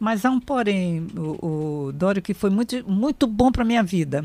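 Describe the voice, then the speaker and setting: A woman talks at a fairly slow pace in a medium pitch, her intonation lively. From Brazil, Amazon region (raised in Manaus from age seven). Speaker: writer and journalist. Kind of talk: radio interview.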